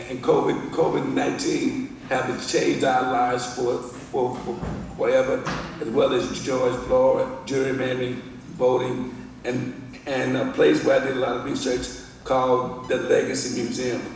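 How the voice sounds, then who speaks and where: There is noticeable background noise and audible room echo as a man talks in an American accent. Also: moderate pace. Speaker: visual artist. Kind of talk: presentation. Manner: halting.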